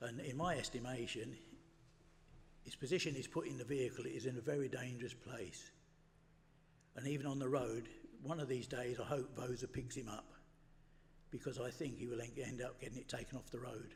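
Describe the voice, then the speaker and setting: A man with an English accent talks at a medium pitch and a fairly quick pace, somewhat breathy, with fairly even intonation. There are long, frequent pauses and audible room echo. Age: 80s+. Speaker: member of the public, retired mechanic. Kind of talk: public representation at meeting.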